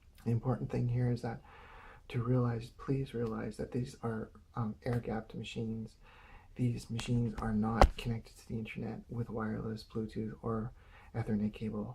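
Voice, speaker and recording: The man's voice is somewhat breathy, with a dark, mellow tone at medium pitch. He keeps a moderate pace and fairly even intonation. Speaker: video blogger. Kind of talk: casual monologue. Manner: halting.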